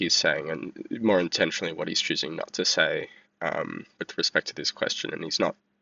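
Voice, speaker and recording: A man speaks with an Australian accent. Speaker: vlogger. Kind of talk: casual monologue commentary. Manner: halting, many fillers.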